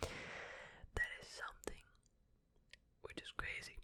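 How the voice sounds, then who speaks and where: Noticeable background noise surrounds a man who is whispering. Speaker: ASMR content creator. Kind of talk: ASMR space facts reading, casual and chatty. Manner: whispered, soft.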